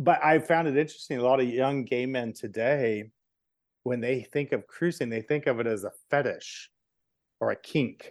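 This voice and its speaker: Over a quiet background, a man with an unremarkable speaking voice talks at a moderate pace. His pitch is medium, with ordinary pitch variation. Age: 50s. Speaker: LGBTQ history tour curator and storyteller. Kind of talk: casual chat.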